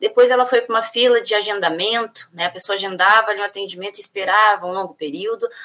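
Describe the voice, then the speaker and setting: This woman's voice sits at medium pitch. She talks at a very fast pace. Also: fairly even intonation, hardly any pauses. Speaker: union leader. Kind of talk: interview. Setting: video call.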